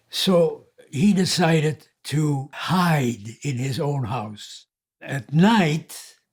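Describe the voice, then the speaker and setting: Somewhat breathy, this man's voice sits at a fairly high pitch with ordinary pitch variation. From Netherlands. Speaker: war survivor. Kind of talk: testimony.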